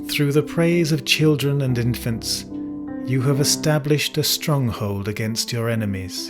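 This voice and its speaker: A man with a British accent at a fairly slow pace, music in the background. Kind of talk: scripture reading. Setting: piano accompaniment.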